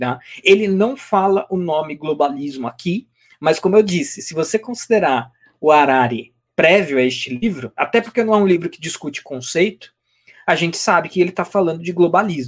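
His high voice moving with lively intonation, a man speaks. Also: moderate pace. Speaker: co-host, book presenter. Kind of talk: casual chat. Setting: live stream.

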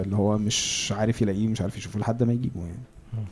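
Fairly quick and fairly low, a man's voice runs in monotone, flat intonation. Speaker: podcast host. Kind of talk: casual chat.

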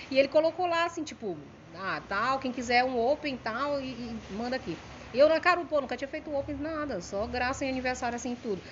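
A woman's high voice, fairly quick, with lively intonation and big swings in loudness. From Maranhão, Brazil (São Luís). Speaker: comedian. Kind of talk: casual chat.

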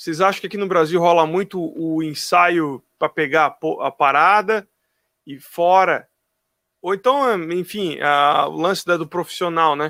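A man with a high pitch and a bright, sharp tone speaks at a fairly slow pace with ordinary pitch variation, the sound dry and close with no echo. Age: 30s. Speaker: drummer and drum teacher. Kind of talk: casual chat.

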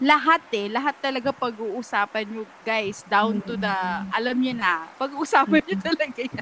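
Here a woman uses a fairly high pitch and a bright, sharp tone. She keeps a moderate pace with ordinary pitch variation. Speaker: podcast co-host. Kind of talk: casual chat.

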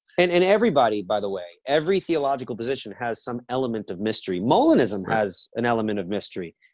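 A man talks at a very fast pace with hardly any pauses. His pitch sits in the middle range and swings very widely. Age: 30s. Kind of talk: theological interview. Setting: video call.

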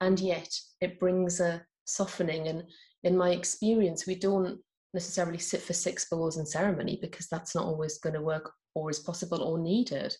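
With a northeast English accent, a woman speaks in a somewhat breathy, dark, mellow tone and a monotone, flat intonation. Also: fairly low pitch for a woman. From northeast England. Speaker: mystic and mindfulness coach. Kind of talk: interview.

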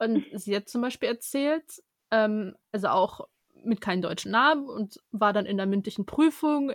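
A normal speaking voice from a woman, fairly high in pitch with ordinary pitch variation, at a fairly slow pace, with a dry, close sound and no echo. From Germany. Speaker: podcast co-host, law student. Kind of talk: casual interview chat.

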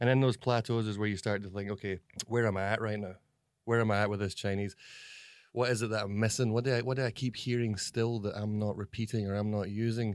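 With a Scottish accent, a man speaks very fast in a fairly low pitch, his intonation monotone and flat. The recording is very clean, with a silent background. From Scotland. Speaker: comedy video actor. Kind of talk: interview. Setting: office.

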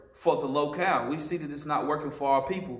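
A man speaks with a fairly high-pitched voice. The recording carries noticeable background noise and audible room echo. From Western North Carolina. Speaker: ministry leader, former prisoner. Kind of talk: testimony.

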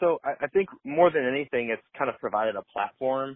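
A man speaks at a moderate pace. He has a Michigan accent. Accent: Midwestern American (Michigan). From Metro Detroit, Michigan. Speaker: fitness apparel founder, former football player. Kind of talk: interview. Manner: halting, many fillers.

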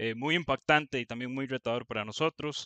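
A man with an unremarkable speaking voice talks fairly quickly at a medium pitch. His pitch varies normally, and the background is quiet. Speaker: church youth leader. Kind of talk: scripted narration. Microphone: original audio had problems.

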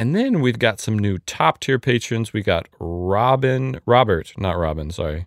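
A man with a normal speaking voice talks at a fairly slow pace and a fairly low pitch, with lively intonation and hardly any pauses. The recording is very clean, with a silent background and a dry, close sound with no echo. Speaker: podcast co-host. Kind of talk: casual banter, interview. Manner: joking, humorous.

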